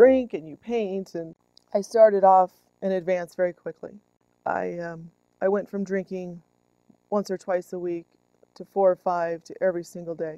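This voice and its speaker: A woman with an American accent, a dark, mellow tone, fairly even intonation, big swings in loudness, and long, frequent pauses. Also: medium pitch for a woman, moderate pace, dry, close sound with no echo. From Southern California. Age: 40s. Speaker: recovering alcoholic, artist. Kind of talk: documentary interview. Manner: hesitant, many ums.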